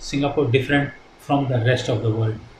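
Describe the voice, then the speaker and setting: Over noticeable background noise, a man talks with fairly even intonation. Audible room echo surrounds his voice. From India, Punjabi-speaking. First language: Hindi and Punjabi. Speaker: retired ship captain, shipping company director. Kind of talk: interview. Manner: hesitant, many fillers.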